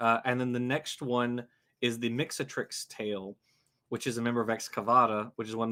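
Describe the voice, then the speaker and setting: A man with a Louisiana accent talks at a fairly quick pace in a bright, sharp tone at medium pitch, on a very clean recording with a silent background. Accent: Louisiana Southern. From US South, Louisiana. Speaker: science YouTuber, livestream host. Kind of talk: casual livestream chat about biology. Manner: halting, many fillers.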